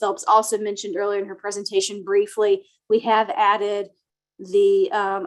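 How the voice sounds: A soft-spoken woman talks at a moderate pace, her medium pitch showing little movement.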